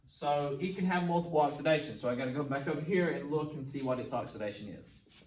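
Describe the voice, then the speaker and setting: A man with a fairly high pitch talks at a fairly quick pace with ordinary pitch variation, with audible room echo and noticeable background noise. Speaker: chemistry teacher. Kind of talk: tutorial. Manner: fast.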